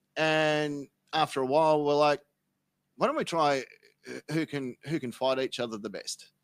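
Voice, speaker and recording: A man's fairly high voice at a moderate pace, with long, frequent pauses, dry and close with no echo, in a very clean recording with a silent background. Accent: Australian. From Australia, Sydney and Melbourne. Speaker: podcast guest. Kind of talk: casual chat, comedic tall tale. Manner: animated.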